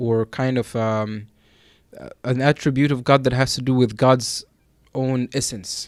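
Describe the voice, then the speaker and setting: Over a silent background in a very clean recording, a man talks at a fairly slow pace. His pitch is medium and his intonation is monotone and flat. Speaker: imam teaching Islamic theology. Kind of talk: religious lecture. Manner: loud; halting, many fillers.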